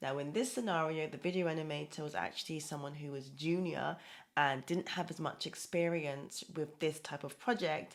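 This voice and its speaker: The woman's voice sits at a very deep, low pitch. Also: very clean recording, silent background. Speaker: project management coach. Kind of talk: talking-head advice video. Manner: fast.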